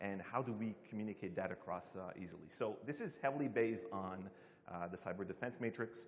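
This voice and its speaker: This man has an ordinary speaking voice with fairly low pitch. He talks at a fairly quick pace with ordinary pitch variation. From Canada. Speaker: security team manager, conference speaker. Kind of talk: conference talk.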